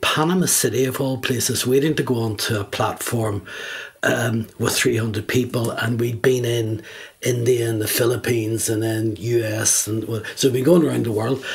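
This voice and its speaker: A man speaks at medium pitch and a moderate pace, his intonation fairly even. His voice is somewhat breathy. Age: 70s. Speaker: executive coach. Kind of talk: podcast interview.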